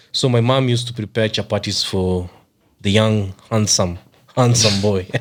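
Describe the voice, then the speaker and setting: A man speaks at a moderate pace in a fairly low pitch, his intonation fairly even and his loudness very even. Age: 30s. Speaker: podcast co-host. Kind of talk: casual chat.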